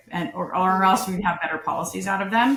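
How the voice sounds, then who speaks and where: There is audible room echo around a woman's fairly low voice. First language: non-English (post-Soviet family). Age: 30s. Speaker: political candidate. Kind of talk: interview.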